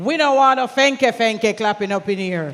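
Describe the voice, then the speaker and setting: In a Jamaican accent, a woman speaks at a moderate pace with lively intonation. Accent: Jamaican, with patois. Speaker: event emcee. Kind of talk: event hosting. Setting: stage at conference with audience. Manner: lively, engaging the crowd.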